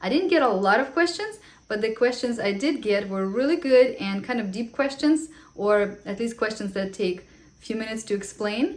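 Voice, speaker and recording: Someone with a non-native accent speaks at a moderate pace, the intonation lively and the loudness swinging widely. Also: woman, fairly high pitch for a woman. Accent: foreign. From Ukraine. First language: Russian. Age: 30s. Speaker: vlogger, homeschooling mom. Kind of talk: casual Q&A vlog.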